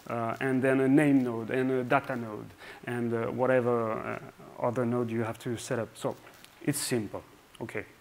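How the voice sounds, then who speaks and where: At a moderate pace, a man speaks in a medium-pitched voice. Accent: French. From France. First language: French. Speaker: software engineer. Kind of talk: conference talk. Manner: hesitant, many fillers.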